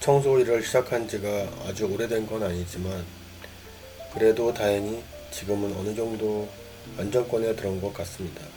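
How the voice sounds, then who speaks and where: Over music in the background, a man with a fairly low pitch speaks at a moderate pace in a calm tone, with fairly even intonation and long, frequent pauses. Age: 50s. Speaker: cleaning business owner. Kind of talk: reflective personal monologue. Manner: calm, reflective.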